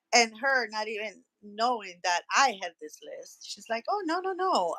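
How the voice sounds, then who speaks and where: A woman's high, bright, sharp voice at a moderate pace, dry and close with no echo. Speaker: podcast guest, medical worker. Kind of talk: casual chat, personal testimony.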